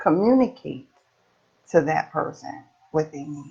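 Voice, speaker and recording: A woman speaks at a fairly slow pace. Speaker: peer support trainer. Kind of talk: study group tutorial.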